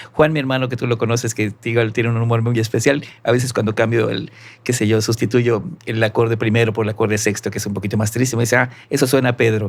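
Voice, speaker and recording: With a Yucatecan accent, a man speaks at a very fast pace, medium in pitch and monotone, flat in intonation. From Mexico, Yucatán (Mérida). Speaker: musician and arranger. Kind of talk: podcast interview.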